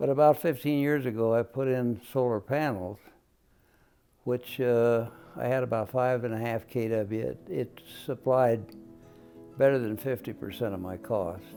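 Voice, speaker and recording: Music plays in the background as a man speaks at medium pitch. His pitch variation is ordinary, and he takes long, frequent pauses. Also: moderate pace. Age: 90s. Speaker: war veteran. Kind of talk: interview answer. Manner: hesitant, with fillers.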